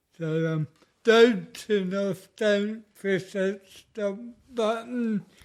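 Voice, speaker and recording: In an Australian accent, a man speaks at a high pitch and a very slow pace. His intonation is fairly even. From Australia (Mildura, Victoria). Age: 50s. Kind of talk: interview testimony.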